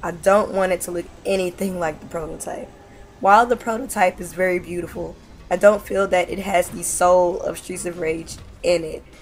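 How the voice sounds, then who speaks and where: A woman talks at a moderate pace and medium pitch with noticeable background noise behind her. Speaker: gaming video creator. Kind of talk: casual talk to camera.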